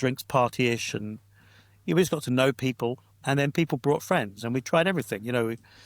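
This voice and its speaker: A man's ordinary speaking voice, medium-pitched, at a fairly quick pace with ordinary pitch variation, in a dry, close recording with no echo and a very clean, silent background. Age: 60s. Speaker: pastor and church planter. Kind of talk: casual interview chat.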